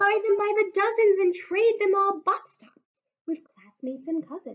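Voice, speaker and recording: A woman puts on a squeaky character voice at an extremely high pitch, with ordinary pitch variation. She keeps a moderate pace while her loudness swings widely. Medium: read story. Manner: eager, agreeable.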